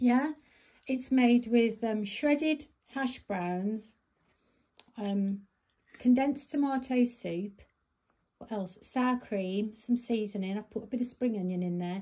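A woman's somewhat breathy, fairly high voice at a very slow pace, with ordinary pitch variation and long, frequent pauses. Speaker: family caregiver cooking for her father. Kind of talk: casual conversation at dinner. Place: home room. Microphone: phone near.

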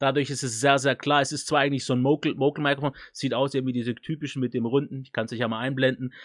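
Over a quiet background, the speaker rushes at a very fast pace with hardly any pauses and monotone, flat intonation. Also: man. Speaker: tech YouTuber reviewing microphones; tech reviewer. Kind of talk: product review. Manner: casual, loose. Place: studio. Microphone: studio mic.

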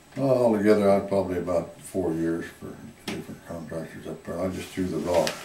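A man's very deep, low voice in a rural Southwestern US accent, very fast, with ordinary pitch variation, big swings in loudness, and audible room echo. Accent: US Southwest rural. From Arizona. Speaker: retired miner and former rancher; interviewee. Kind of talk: oral history interview. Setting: museum. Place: hall.

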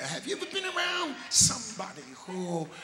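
Background noise is noticeable here. A man does the talking. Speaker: preacher. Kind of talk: sermon. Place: church. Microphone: handheld.

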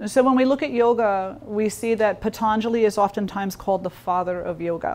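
At a fairly quick pace, a woman speaks with ordinary pitch variation. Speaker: yoga teacher. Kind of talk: lecture. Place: hall.

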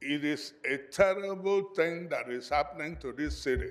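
In a room with audible echo, a man talks fairly slowly at a fairly high pitch with ordinary pitch variation. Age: 70s. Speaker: building owner giving public comment. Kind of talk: public comment testimony. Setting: city council meeting.

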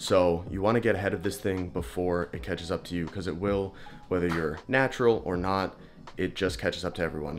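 Over faint music in the background, a man talks at a very fast pace with a very deep, low pitch. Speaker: fitness vlogger. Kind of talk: sponsor read in a casual vlog. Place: home room. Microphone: phone near.

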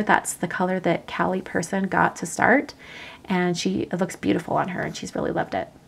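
At a fairly quick pace, a woman of medium pitch talks in an unremarkable speaking voice. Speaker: crafting YouTuber. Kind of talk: live craft tutorial stream. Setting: livestream. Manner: casual, chatty.

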